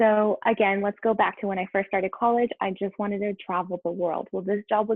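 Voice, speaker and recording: Someone with a Spanish accent talks at a fairly quick pace. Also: woman. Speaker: environmental health and safety engineer. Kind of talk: career talk. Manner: animated.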